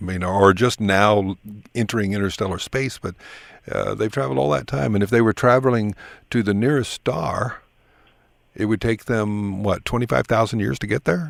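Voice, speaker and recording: With an ordinary speaking voice, a man talks at a moderate pace and fairly low pitch with lively intonation in a very clean recording with a silent background. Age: 60s. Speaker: radio host. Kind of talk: interview.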